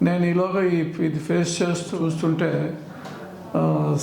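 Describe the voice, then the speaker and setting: Room echo is audible as a man talks. The background noise is noticeable as well. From Andhra Pradesh, Vizag. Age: 70s. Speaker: patient. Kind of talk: testimony.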